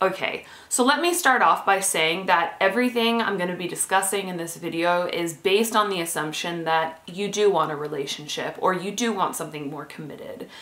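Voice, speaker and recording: A woman talks at a fairly quick pace with hardly any pauses, ordinary pitch variation and big swings in loudness. The room echo is audible. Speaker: dating advice vlogger. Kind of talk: casual vlog chat. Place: home room.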